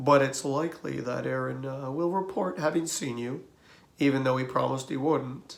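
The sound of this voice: A reader speaks in an unforced voice. Pitch shifts an ordinary amount.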